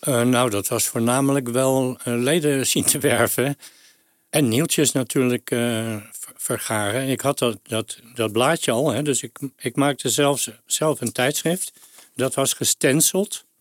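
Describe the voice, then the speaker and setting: Dry and close with no echo, a man at a medium pitch talks very slowly with fairly even intonation. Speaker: Beatles fan club founder. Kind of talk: interview storytelling. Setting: studio.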